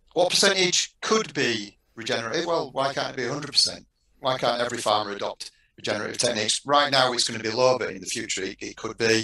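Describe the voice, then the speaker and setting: A man with a Yorkshire accent speaks at a fairly quick pace and medium pitch, his tone bright and sharp with lively intonation. His loudness swings widely, and there is audible room echo against a quiet background. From Yorkshire, northern England. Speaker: university textile researcher and lecturer; lecturer. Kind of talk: panel discussion. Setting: online video panel. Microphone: headset.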